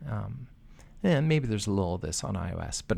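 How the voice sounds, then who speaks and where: An ordinary speaking voice from a man, fairly low in pitch, at a moderate pace. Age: 40s. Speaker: software developer. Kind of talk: casual chat.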